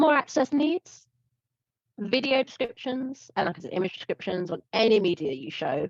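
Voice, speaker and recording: With a British accent, a woman talks at a moderate pace, her pitch swinging very widely, in a dry, close sound with no echo. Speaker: presenter giving a workshop on online performance. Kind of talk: presentation. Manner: casual, filler-heavy.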